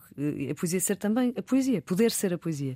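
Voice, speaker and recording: Speech at a moderate pace comes through on a very clean recording with a silent background. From Portugal, Porto. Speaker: poet and journalist. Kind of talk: interview. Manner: halting.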